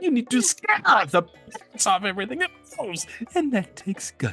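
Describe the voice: A put-on character voice at a fairly high pitch and moderate pace, with very wide pitch swings and faint music in the background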